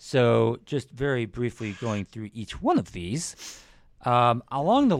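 Recorded dry and close with no echo, a man has a plain, everyday voice at a fairly low pitch with ordinary pitch variation. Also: very clean recording, silent background. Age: 30s. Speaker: podcast co-host. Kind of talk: casual chat.

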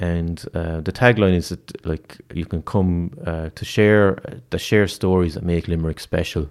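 With an Irish accent, the speaker talks at a fairly slow pace and keeps the intonation fairly even. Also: man, very deep, low pitch for a man. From rural Ireland. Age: 30s. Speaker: youth programme director. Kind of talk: casual interview.

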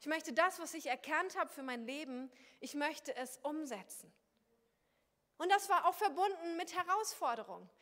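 The voice is raised and projected, with a bright, sharp tone. It keeps a moderate pace and ordinary pitch variation. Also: woman. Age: 30s. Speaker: pastor. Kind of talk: sermon.

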